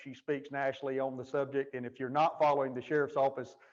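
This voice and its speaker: This is a man's voice. He speaks with a Southern US accent. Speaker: jail administrator and keynote speaker. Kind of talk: keynote speech. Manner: fast when passionate.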